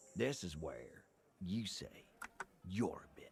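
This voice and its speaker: A put-on character voice from a man, medium in pitch. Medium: video game. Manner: sarcastic.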